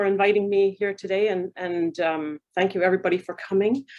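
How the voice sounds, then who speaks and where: A woman talks at a moderate pace with a Canadian accent. Her pitch sits in the medium range. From Canada. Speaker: university research fellow. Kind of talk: panel presentation. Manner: hesitant, many fillers.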